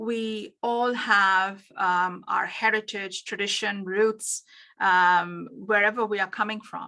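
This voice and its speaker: In a very clean recording with a silent background, a woman speaks very slowly at a medium pitch with a bright, sharp tone. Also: fairly even intonation. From India. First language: Bengali. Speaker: business coach. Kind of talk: workshop presentation. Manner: halting, many fillers.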